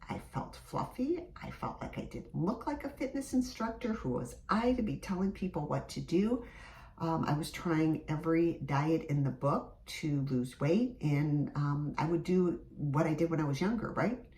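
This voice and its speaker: A woman's fairly low voice with an American accent, a moderate pace and very wide pitch swings, amid noticeable background noise. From US Midwest, Michigan. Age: 50s. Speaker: fitness instructor. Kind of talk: casual vlog talk to camera.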